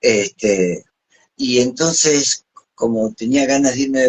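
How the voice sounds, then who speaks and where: Using an ordinary speaking voice, a man talks at medium pitch and a fairly slow pace with ordinary pitch variation. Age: 60s. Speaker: psychologist and NLP trainer. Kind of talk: live stream interview.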